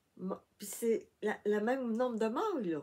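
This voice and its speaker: A woman with a Quebec accent speaks at a very slow pace in a medium pitch with a dark, mellow tone. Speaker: crafting YouTuber. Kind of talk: tutorial. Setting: home workshop, filming with tablet. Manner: soft-spoken.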